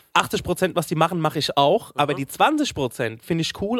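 Lively intonation at a fairly quick pace, with a dry, close sound and no echo. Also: man. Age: 40s. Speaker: podcast co-host, stage musician. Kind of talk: casual chat.

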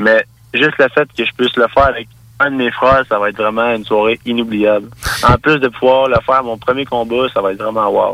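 The sound is dry and close with no echo as a man with an unremarkable speaking voice talks at a fairly quick pace, medium in pitch, with fairly even intonation. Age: 20s. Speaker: mixed martial arts fighter. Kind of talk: interview.

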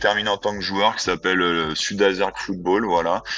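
A man speaks at a fairly slow pace while music plays behind him. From France, Lyon area. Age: 30s. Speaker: football coach. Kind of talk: casual interview. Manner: halting, many fillers and repetitions.

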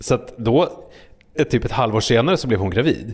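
A medium-pitched man speaks with lively intonation at a moderate pace. His voice is somewhat breathy. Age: 40s. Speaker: podcaster and TV relationship panelist. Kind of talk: casual chat. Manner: halting.

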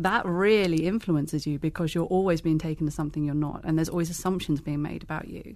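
Over a quiet background, a woman speaks with a British accent. Her pitch is fairly low and her intonation fairly even. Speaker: blogger. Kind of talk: casual chat.

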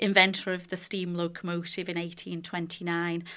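A woman speaks with a Lancashire accent. Her pace is moderate. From Leigh, Lancashire. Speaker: charitable trust director. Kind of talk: podcast panel discussion.

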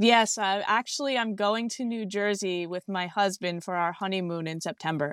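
A woman with a plain, everyday voice and an American accent, medium pitch, ordinary pitch variation, moderate pace and hardly any pauses, in a dry, close, echo-free recording that is very clean with a silent background. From Massachusetts, US. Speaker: grieving daughter receiving a reading. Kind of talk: emotional testimony in a medium reading.

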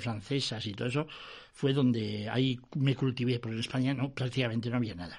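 A man of medium pitch talks at a fairly quick pace, somewhat breathy and with ordinary pitch variation, against a quiet background. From Basque Country, Vitoria. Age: 70s. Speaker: music industry veteran and former broadcaster. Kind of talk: interview, reminiscing.

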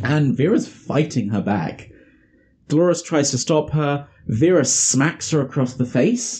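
Somewhat breathy and dark, mellow in tone, the voice moves at a fairly slow pace. Its intonation is lively and its loudness very even. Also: man, fairly high pitch for a man. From England. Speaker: podcast host. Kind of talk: casual chat.

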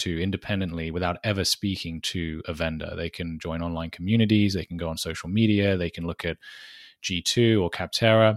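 Someone with a British accent speaks at a moderate pace with fairly even intonation, in a dry, close sound with no echo on a very clean recording over a silent background. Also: man. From Britain. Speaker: marketing director. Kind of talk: interview.

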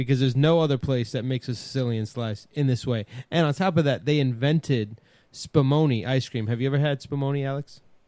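In a Brooklyn accent, a man talks at a very fast pace with a medium pitch, ordinary pitch variation and a dark, mellow tone. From New York City, Brooklyn. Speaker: podcast host. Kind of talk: casual chat.

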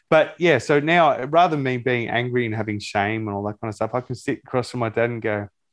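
Against a quiet background, a man with an Australian accent talks at a very fast pace with lively intonation. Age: 30s. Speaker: psychology student and life coach. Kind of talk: interview.

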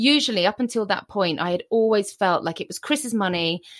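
This woman has an ordinary speaking voice at a medium pitch. Her intonation is lively and her pace is moderate. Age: 40s. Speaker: author and former TV documentary presenter. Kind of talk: interview conversation. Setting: remote call from home.

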